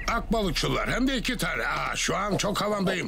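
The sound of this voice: In a cartoonish character voice, a man speaks at a high pitch with big pitch swings and vocal fry. The pace is moderate, with clear background noise.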